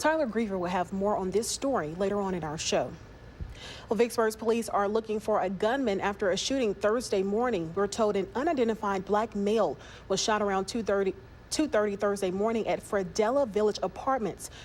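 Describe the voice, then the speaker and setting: This woman talks at a fairly quick pace in a plain, everyday voice, with medium pitch and ordinary pitch variation. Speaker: news anchor. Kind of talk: TV news anchoring. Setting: studio.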